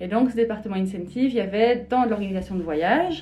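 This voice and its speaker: Speech moves at a fairly quick pace, with a somewhat breathy, dark, mellow tone. Pitch varies in an ordinary way, and room echo is audible. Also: woman. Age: 40s. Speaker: shiatsu practitioner. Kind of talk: interview testimony. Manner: hesitant, many fillers.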